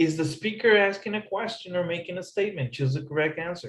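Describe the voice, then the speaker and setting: A man's high-pitched voice moves along at a fairly quick pace. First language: not English. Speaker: English teacher. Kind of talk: tutorial.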